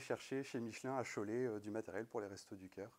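A man speaks in a normal speaking voice at a medium pitch. His pace is moderate and his intonation fairly even. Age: 20s. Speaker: network engineer and conference speaker; conference speaker. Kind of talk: conference talk. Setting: stage with audience. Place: hall.

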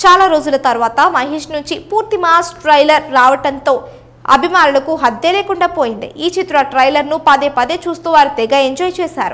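This woman has a high-pitched voice. Her pitch varies in an ordinary way. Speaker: news presenter. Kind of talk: entertainment news voice-over.

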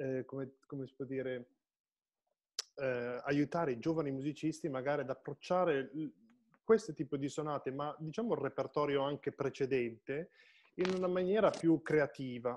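At a moderate pace, a man with a fairly high pitch and ordinary pitch variation speaks with long, frequent pauses against a quiet background. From Piedmont, Italy. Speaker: online show host and musician; online show host. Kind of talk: casual interview chat. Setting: live Facebook video stream. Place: home room. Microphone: video call.

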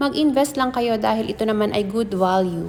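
At a moderate pace, a woman uses a normal speaking voice, fairly high in pitch, with ordinary pitch variation. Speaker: vlogger. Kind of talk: casual vlog narration. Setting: in a car then gold shop.

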